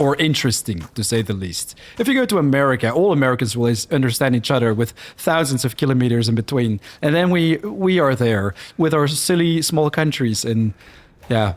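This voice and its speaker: In a Flemish accent, the speaker moves at a fairly quick pace with lively intonation. Loudness stays very even throughout. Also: man, medium pitch for a man. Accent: Dutch Flemish. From Belgium (Flanders), born in Netherlands. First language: Dutch (Flemish). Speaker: gaming streamer. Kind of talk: live gameplay commentary. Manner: animated.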